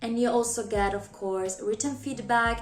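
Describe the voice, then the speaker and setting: Music plays in the background as a woman with a non-native accent talks, her voice carrying audible room echo. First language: not English. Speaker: YouTuber, new English teacher. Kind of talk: casual vlog talk to camera.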